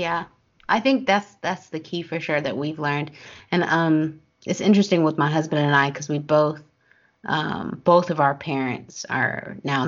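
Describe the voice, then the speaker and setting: At a moderate pace, a woman with vocal fry speaks in a very deep, low pitch with ordinary pitch variation. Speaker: podcast host. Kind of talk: interview, conversational.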